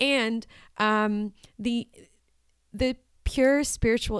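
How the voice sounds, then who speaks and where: On a very clean recording with a silent background, a woman speaks with ordinary pitch variation. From Washington D.C. suburbs. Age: 20s. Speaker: farmer and artist. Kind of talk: casual interview.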